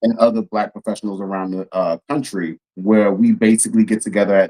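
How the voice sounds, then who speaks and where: A man talks at a fairly quick pace in an ordinary speaking voice with a fairly low pitch. The sound is dry and close, with no echo. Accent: American. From Texas, Houston. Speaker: policy consultant, Navy veteran. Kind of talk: casual chat.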